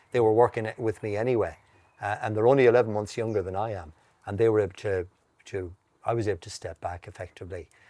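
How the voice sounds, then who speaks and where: In an Irish accent, a man speaks with a fairly low pitch, a dark, mellow tone and fairly even intonation. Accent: Irish (Mayo). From west of Ireland, County Mayo. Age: 60s. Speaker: horticulturist and garden centre owner. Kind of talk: casual interview chat. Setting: outdoors. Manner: halting, frequent restarts.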